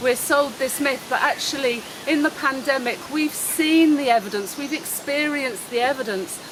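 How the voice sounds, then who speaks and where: Noticeable background noise sits under speech that unfolds at a fairly slow pace. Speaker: online course teacher. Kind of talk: vlog monologue. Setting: outdoors by a road. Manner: loud.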